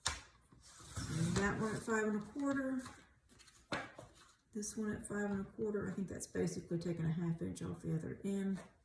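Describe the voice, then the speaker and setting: A woman's medium-pitched voice with ordinary pitch variation at a moderate pace, over noticeable background noise. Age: 60s. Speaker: craft tutorial youtuber. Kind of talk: tutorial. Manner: casual, chatty.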